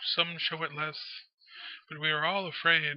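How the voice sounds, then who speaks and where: A man speaks in a shaky, put-on character voice. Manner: nervous, fearful.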